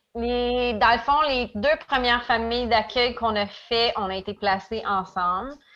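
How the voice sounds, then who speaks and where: A woman's fairly high, bright and sharp voice at a fairly slow pace, with hardly any pauses. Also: ordinary pitch variation. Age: 30s. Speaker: daycare educator, former youth in foster care. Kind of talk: personal testimony in interview.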